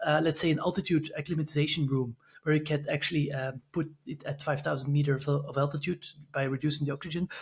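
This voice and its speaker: Here a man with a Belgian accent talks at a very fast pace in a fairly high pitch. His intonation is monotone and flat, and his voice is somewhat breathy. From Belgium, Antwerp. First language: Dutch. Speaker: sport scientist. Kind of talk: podcast interview. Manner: halting, many fillers.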